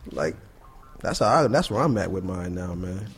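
This man speaks with an American accent and vocal fry. His pace is fairly quick. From Buffalo, New York. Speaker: artist and educator. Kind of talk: casual interview. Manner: relaxed, conversational.

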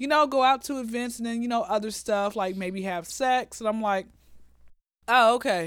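Here a woman with an American accent speaks in an animated tone, fairly high in pitch with ordinary pitch variation. Her pace is moderate, and the recording is very clean with a silent background. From US South, Atlanta. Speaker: comedian. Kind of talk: casual chat.

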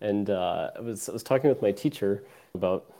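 With an American accent, the voice has a dark, mellow tone and fairly even intonation, moving at a fairly slow pace over a very clean recording with a silent background. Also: man. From Wisconsin, Janesville. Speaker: data scientist, army veteran. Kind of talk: interview.

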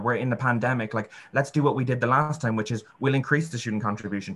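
A man's very fast, bright and sharp voice at medium pitch with ordinary pitch variation, in an Irish accent, against a quiet background. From Ireland. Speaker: student union president-elect. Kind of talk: panel discussion.

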